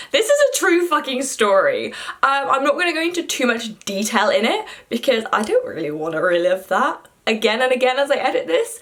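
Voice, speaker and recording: Her pitch is high and swings very widely as this woman talks at a fairly quick pace in an animated tone. Noticeable background noise is present. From Yorkshire, northern England. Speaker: student vlogger. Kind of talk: casual vlog storytelling. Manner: animated, chatty with fillers.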